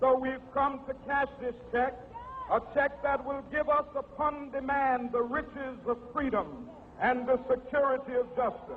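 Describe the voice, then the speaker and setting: Speaking in an American accent over noticeable background noise, a man with an extremely high pitch talks at a fairly slow pace in a flat monotone, with hardly any pauses. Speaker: civil rights leader and minister. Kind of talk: public political speech. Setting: outdoor rally with crowd, historical recording.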